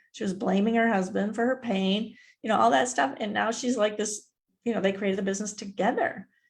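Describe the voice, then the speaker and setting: Talking at a fairly quick pace, a woman with a fairly high pitch and vocal fry shows ordinary pitch variation. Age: 60s. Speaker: mindset mentor and author. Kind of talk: interview. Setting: live stream. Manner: casual.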